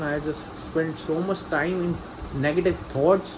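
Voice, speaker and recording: Amid audible room echo and noticeable background noise, a man speaks at a fairly high pitch. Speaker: vlogger, freelance copywriter. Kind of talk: personal video diary. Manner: halting, repetitive.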